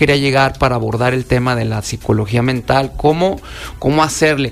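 Noticeable background noise behind a man's fairly high-pitched voice at a moderate pace. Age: 40s. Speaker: security specialist and self-defense instructor. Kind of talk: radio interview. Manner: casual, colloquial.

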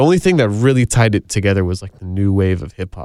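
In a very clean recording with a silent background and a dry, close sound without echo, a man uses an ordinary speaking voice, fairly low in pitch, with ordinary pitch variation at a fairly quick pace. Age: 20s. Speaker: musician. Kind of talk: casual chat.

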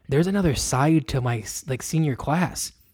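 A man with an unremarkable speaking voice, fairly high in pitch, talks at a moderate pace in a very clean recording with a silent background. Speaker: podcast host. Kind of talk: casual chat.

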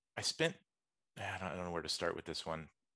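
A man with an American accent, in a dry, close sound with no echo against a quiet background. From US South, Atlanta, Georgia. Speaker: entrepreneur. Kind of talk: interview.

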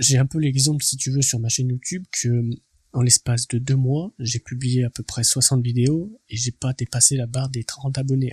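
Against a quiet background, a man speaks at medium pitch, somewhat breathy, with fairly even intonation. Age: 20s. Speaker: entrepreneurship podcaster. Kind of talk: motivational monologue. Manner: casual, hesitant with repetitions.

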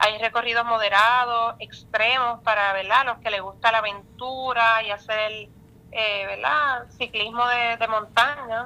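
A woman with a fairly high pitch speaks at a fairly slow pace in a bright, sharp tone, her intonation monotone and flat. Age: young. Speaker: tourism official. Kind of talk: radio interview.

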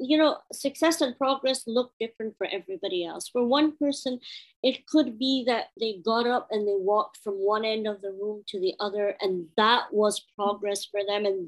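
At a moderate pace, a woman speaks with very wide pitch swings in a dry, close sound with no echo. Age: 30s. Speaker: former medical doctor with chronic illness. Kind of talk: casual interview.

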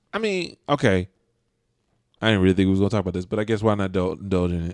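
Against a quiet background, a man speaks. His pitch is fairly low. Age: 20s. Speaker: podcast host. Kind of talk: casual chat.

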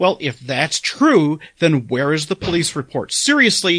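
A bright, sharp voice comes through dry and close with no echo over a quiet background. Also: man. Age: 50s. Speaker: podcast co-host. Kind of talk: casual chat.

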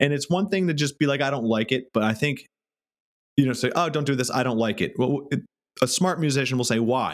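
An unremarkable speaking voice from a man, fairly high in pitch and fairly quick, on a very clean recording with a silent background. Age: 30s. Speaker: podcast host and music marketer. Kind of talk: casual interview chat. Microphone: new microphone.

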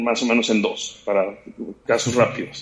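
A man with a normal speaking voice, medium pitch, and a moderate pace. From Mexico, Guadalajara. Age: 30s. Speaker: sports medicine doctor. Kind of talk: casual interview.

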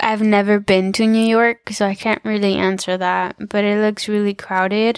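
A woman speaks at a medium pitch in a flat monotone, her loudness very even and her pauses nearly absent. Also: moderate pace. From Mexican heritage. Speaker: podcast co-host. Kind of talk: casual chat.

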